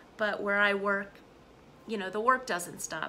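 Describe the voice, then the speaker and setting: The woman's tone is bright and sharp, with light background noise behind her. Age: 40s. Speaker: English teacher; vlogger. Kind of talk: casual lesson. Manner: animated. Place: home room. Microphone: phone near.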